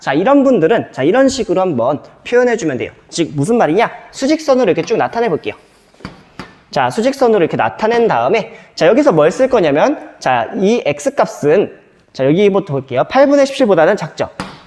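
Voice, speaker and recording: Speech comes at a rather brisk speed. Clear background noise accompanies it. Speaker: math teacher. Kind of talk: lecture. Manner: fast.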